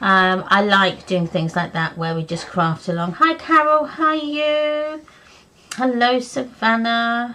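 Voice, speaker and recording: A woman speaks very slowly in a fairly high pitch. Her pitch swings very widely. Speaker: craft video host. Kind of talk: live craft stream chat. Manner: casual, hesitant with fillers.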